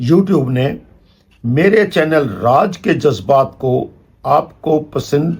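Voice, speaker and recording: A man's lively intonation comes through a somewhat breathy voice. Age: 70s. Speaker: retired amateur poet. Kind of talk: channel address to viewers. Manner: formal.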